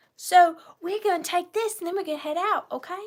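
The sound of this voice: Squeaky and extremely high-pitched, a woman's put-on character voice races along at a very fast pace.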